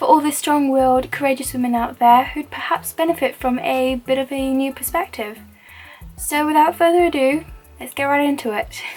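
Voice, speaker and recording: Music plays in the background as a soft-spoken woman talks at a moderate pace and high pitch, with ordinary pitch variation. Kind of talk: hijab tutorial with motivational talk to camera. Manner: quiet, soft-spoken.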